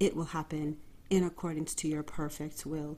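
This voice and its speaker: Quiet and at a moderate pace, a woman speaks with a fairly low pitch, a warm, dark, mellow tone and fairly even intonation. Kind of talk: podcast monologue. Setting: bedroom at home. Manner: subdued, quiet tone; warm, direct address.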